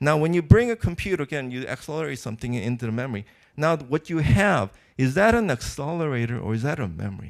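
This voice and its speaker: A man talks at a very fast pace with very wide pitch swings and a fairly high pitch. The recording is very clean, with a silent background. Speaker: computer architecture professor, keynote speaker. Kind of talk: conference keynote. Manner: halting, with fillers and repetitions.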